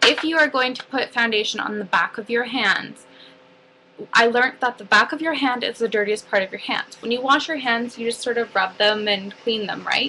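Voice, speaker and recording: Her voice plain and everyday, a woman speaks at a moderate pace with a fairly high pitch and ordinary pitch variation. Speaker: makeup artist. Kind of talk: tutorial. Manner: casual, filler-heavy.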